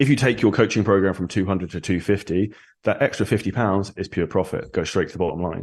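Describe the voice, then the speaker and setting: Over a quiet background, a man with a southern English accent speaks at a very fast pace in a fairly low voice with ordinary pitch variation. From England (Surrey). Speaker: online fitness coach, entrepreneur. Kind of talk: podcast interview.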